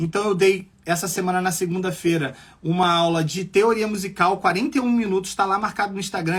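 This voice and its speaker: A very clean, silent-background recording of fairly quick talking. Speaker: music teacher and producer. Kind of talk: live stream lecture. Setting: live stream.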